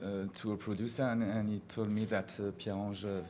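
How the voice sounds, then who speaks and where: A man's fairly low voice with a French accent, moderate pace, fairly even intonation and audible room echo. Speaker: film director. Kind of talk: press conference. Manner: halting.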